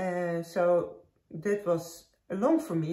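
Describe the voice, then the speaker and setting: This woman's voice has a dark, mellow tone, fairly low pitch and a somewhat breathy quality, with a slight Dutch accent. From Netherlands. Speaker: knitting podcaster. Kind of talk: casual chat. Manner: halting.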